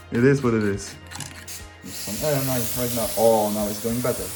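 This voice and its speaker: The talking is at a moderate pace. There is music in the background. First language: not English. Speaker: tech YouTuber. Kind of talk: tutorial. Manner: casual, halting.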